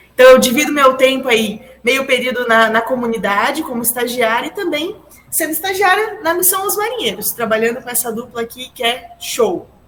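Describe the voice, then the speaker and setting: Noticeable background noise sits behind a woman speaking at a moderate pace. Her high voice rises and falls with lively intonation. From Santa Catarina, southern Brazil (Jaraguá do Sul). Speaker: theology student intern. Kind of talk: casual chat.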